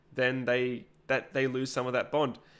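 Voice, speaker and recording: This is a man with an Australian accent. His pitch sits in the medium range. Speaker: 3D printing YouTuber. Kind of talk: live stream chat reading comments. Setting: live stream at home. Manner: hesitant, many fillers.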